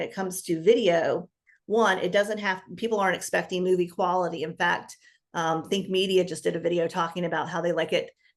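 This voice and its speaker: A woman with a medium-pitched voice speaks at a fairly quick pace, her intonation fairly even. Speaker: business coach. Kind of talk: interview. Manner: fast.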